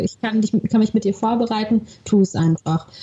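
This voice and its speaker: The voice is somewhat breathy, with a dark, mellow tone. Its pitch varies in an ordinary way. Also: woman. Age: 20s. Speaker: actress. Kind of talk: interview conversation. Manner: animated.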